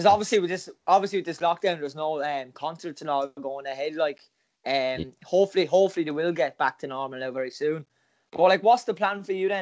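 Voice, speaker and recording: Speech comes very fast in an Irish accent. The pitch variation is ordinary. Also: man. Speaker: podcast host. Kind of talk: casual chat.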